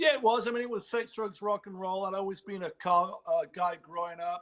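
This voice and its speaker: Delivered at a fairly quick pace, the speech shows big swings in loudness and ordinary pitch variation. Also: man, high pitch for a man. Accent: American. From northern England, Sheffield. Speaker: car builder and fashion designer. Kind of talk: interview.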